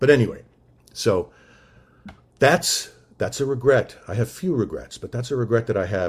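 A man speaks at a fairly quick pace. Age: 60s. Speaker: recovery meeting speaker. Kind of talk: testimony.

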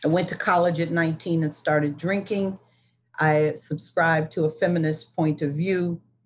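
A woman speaks at a moderate pace in a fairly low pitch, somewhat breathy. Her intonation is monotone and flat, and her loudness stays very even. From US Midwest, Detroit. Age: 60s. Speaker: recovering alcoholic speaker. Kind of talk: testimony.

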